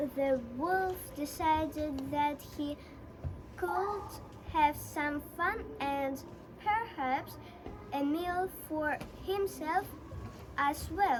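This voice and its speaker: A put-on character voice at a high pitch, very slow pace and long, frequent pauses, with clear background noise. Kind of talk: bedtime story. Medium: stage play.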